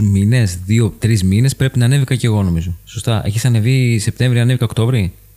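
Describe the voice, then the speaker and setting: The speaker is a man with a dark, mellow tone. His pitch is medium, with ordinary pitch variation. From Greece, Paros. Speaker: podcast host. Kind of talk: casual chat.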